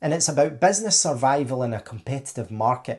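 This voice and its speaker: Against a quiet background, a somewhat breathy voice with a Scottish accent moves at a fairly quick pace with ordinary pitch variation. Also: man. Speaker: tech contracting business owner. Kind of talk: opinion monologue to camera.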